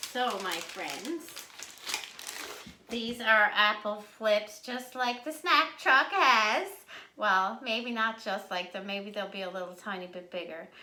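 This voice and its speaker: A very slow voice in a Newfoundland accent, with audible room echo and noticeable background noise. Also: woman, fairly high pitch for a woman, ordinary pitch variation, big swings in loudness. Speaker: home cooking video host. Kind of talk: cooking tutorial. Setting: home kitchen. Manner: casual, chatty.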